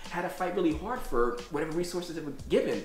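A man with an American accent talks at a fairly quick pace, his pitch fairly high and his intonation lively. Light background noise and audible room echo are present. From New York City. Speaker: Airbnb owner and local political candidate. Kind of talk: interview conversation. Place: home room. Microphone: camera far.

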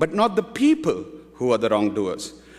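A man is talking at a moderate pace. Behind him, things are quiet. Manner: earnest, reverent, devout, with a rhythmic, pleading cadence; formal, measured, fervent. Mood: solemn, calm. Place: hall. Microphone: podium.

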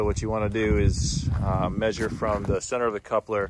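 A man with a fairly low pitch talks at a moderate pace, the sound dry with no echo, under noticeable background noise. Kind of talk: tutorial. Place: open country. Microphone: phone near.

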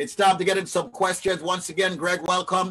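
A man with an American accent speaks at a high pitch over noticeable background noise. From New York. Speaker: radio host. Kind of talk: live radio talk show. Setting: video call. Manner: animated. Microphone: video call.

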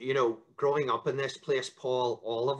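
A man speaks in a bright, sharp tone with fairly even intonation against a quiet background. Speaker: interview guest, local politician. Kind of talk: interview answer. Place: home room. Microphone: video call.

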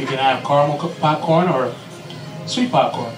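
Clear music sounds behind the man as he talks. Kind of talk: ride spiel.

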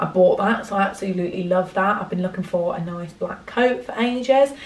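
A woman talks with ordinary pitch variation, and room echo can be heard. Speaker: vlogger. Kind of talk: casual vlog chat. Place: home room. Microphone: phone near.

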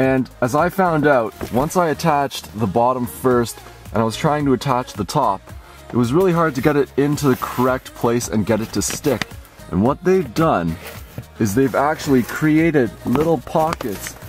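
A man at a moderate pace, dry sound with no echo, clear music in the background. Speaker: gear reviewer. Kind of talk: product review walkthrough. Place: tent. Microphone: phone near.

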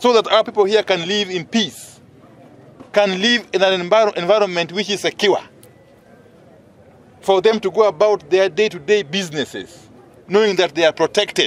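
Pausing long and often, a man with a high voice talks at a moderate pace with fairly even intonation, in a dry sound with no echo. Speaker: politician addressing press. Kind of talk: press statement. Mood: firm, concerned. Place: street.

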